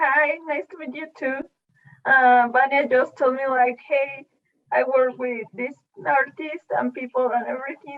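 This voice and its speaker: A woman with a high voice talks fairly slowly, her intonation staying fairly even. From Mexico City. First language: Spanish. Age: 20s. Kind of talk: casual chat. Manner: hesitant.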